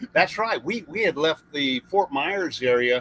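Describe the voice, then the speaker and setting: A man with a Southern US accent, bright and sharp in tone, very slow in pace, with very wide pitch swings. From US South. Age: 60s. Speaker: retired Navy RVer and YouTuber. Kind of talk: live stream chat.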